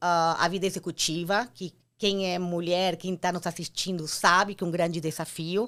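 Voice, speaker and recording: The recording is very clean with a silent background as a woman speaks at a medium pitch. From Argentina. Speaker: entrepreneur, former marketing executive. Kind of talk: interview.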